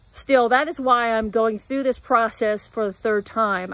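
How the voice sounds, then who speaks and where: A woman's voice at a moderate pace, with fairly even intonation and a dry sound with no echo. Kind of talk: casual vlog chat. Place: garden. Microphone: phone near.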